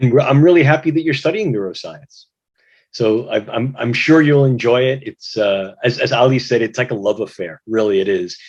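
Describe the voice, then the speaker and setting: A man speaks with an American accent in a plain, everyday voice at medium pitch. His intonation is lively and his pace moderate. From US, New York City. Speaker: neuroscience researcher, moderator. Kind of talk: moderated video-call discussion.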